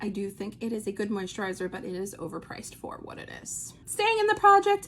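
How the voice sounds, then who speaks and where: A woman's pitch swings very widely at a moderate pace. Noticeable background noise can be heard. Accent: American. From New Jersey. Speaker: beauty vlogger. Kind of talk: casual product review vlog.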